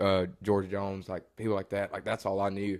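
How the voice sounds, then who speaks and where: The recording is very clean against a silent background. A man with a fairly low pitch talks fairly quickly. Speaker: country singer. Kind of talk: casual chat.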